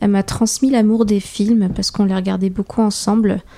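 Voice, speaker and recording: Monotone, flat intonation marks the delivery. The tone itself is dark and mellow. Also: woman. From France, Paris suburbs (Seine-et-Marne), Peruvian parents. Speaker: filmmaker and photographer. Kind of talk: casual interview chat.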